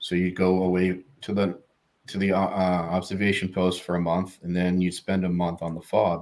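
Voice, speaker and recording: Over a very clean recording with a silent background, a man talks fairly slowly in a very deep, low pitch with monotone, flat intonation. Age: 40s. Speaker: army veteran. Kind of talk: interview answer.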